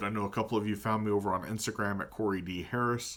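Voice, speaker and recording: Moving at a moderate pace, a man speaks with fairly even intonation. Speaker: tabletop gaming vlogger. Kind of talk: casual vlog monologue. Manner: hesitant, many fillers.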